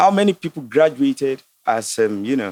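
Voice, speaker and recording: A man with a Nigerian accent at a moderate pace, very wide pitch swings, and a dry, close sound with no echo. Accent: Nigerian (Yoruba) English. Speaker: entrepreneur and astrologer. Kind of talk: casual debate on a podcast. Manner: animated.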